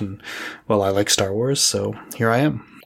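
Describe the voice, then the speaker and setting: A man speaks with a Canadian accent. Noticeable background noise is present. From Edmonton, Alberta, Canada. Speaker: tabletop role-playing podcaster and player. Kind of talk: casual interview. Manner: halting, many fillers.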